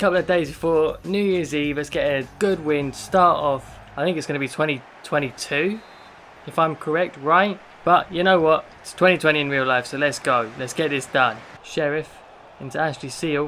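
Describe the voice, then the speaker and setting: A man with an English accent talks at a moderate pace, his pitch fairly high with ordinary variation. Noticeable background noise runs behind him. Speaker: gaming youtuber. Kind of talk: gameplay commentary. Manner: animated.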